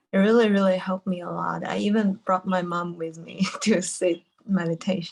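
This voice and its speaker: In a Chinese accent, a woman speaks at a moderate pace and medium pitch with monotone, flat intonation. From China. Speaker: retreat participant. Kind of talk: question in online Q&A. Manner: halting.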